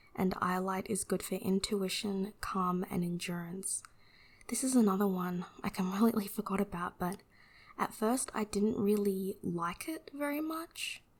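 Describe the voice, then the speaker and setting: Soft-spoken and relaxed in tone, the voice moves at a fairly slow pace. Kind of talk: ASMR unboxing, casual talk to camera. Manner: soft-spoken, relaxed.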